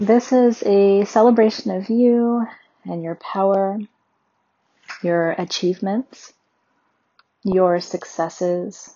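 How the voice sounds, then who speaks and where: A woman talks at a very slow pace, leaving long, frequent pauses. Her pitch is medium and her intonation fairly even. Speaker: meditation guide. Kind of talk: guided meditation.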